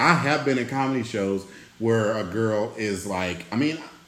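A man speaks at a fairly slow pace. Audible room echo can be heard. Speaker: podcast host. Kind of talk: casual chat.

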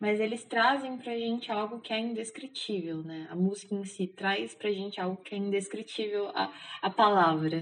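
A woman talks at a moderate pace in a normal speaking voice with medium pitch. Her pitch varies in an ordinary way, and she hardly pauses. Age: 20s. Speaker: architect, K-pop fan sharing personal story. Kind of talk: casual interview.

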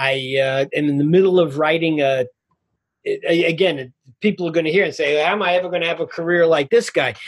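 Delivered at a fairly quick pace, this voice carries a New York accent and ordinary pitch variation. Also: man, high pitch for a man. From Queens, New York. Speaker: film director and author. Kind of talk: casual interview chat.

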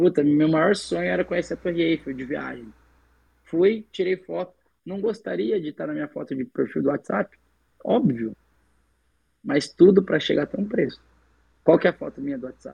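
Speaking at a moderate pace, a man with a fairly high pitch and vocal fry makes very wide pitch swings and big swings in loudness, with long, frequent pauses. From São Paulo state, Brazil. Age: 20s. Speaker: civil engineering student and entrepreneur. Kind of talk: interview.

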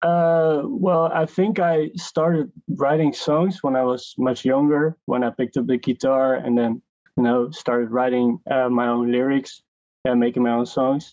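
Speaking fairly slowly with a Dutch accent, a man keeps his loudness very even, his pitch medium and his pitch variation ordinary. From Netherlands, Enschede. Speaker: music producer and artist. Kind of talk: casual interview.

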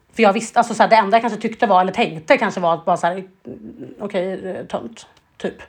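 At a very fast pace, a woman speaks in a medium pitch. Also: ordinary pitch variation. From Sweden. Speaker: podcast co-host. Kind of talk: casual chat.

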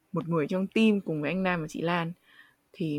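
A woman's plain, everyday voice, fairly low-pitched, with ordinary pitch variation and a fairly quick pace, in a very clean, dry, close recording with a silent background and no echo. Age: 20s. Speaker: podcast host, university student. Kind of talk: interview conversation.

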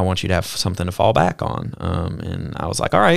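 A man with a Southern US accent speaks in a very deep, low voice on a very clean recording with a silent background. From US South (Mobile, Alabama). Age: 20s. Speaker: podcast host, missionary. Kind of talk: casual chat.

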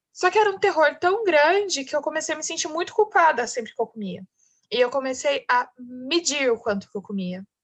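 This woman has a high pitch and very wide pitch swings. Her pace is fairly quick. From interior of São Paulo state, Brazil. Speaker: marketing consultant. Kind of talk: podcast interview, personal testimony.

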